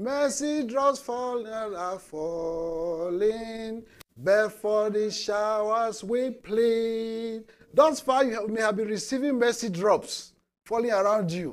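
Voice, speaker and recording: A man's high voice at a very slow pace, with ordinary pitch variation. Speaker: preacher. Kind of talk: sermon. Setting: church. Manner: halting, repeats words.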